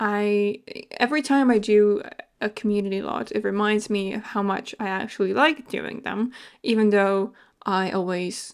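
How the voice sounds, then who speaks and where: On a very clean recording with a silent background, a woman with a non-native accent talks at a moderate pace in a medium pitch with fairly even intonation. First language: not English. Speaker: video game content creator. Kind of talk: voiceover commentary. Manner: hesitant, many fillers.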